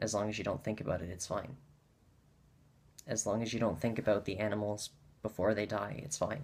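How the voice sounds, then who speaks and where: A man with a fairly low pitch talks at a fairly quick pace with fairly even intonation, leaving long, frequent pauses. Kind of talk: casual talk to camera. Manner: unscripted, hesitant with pauses.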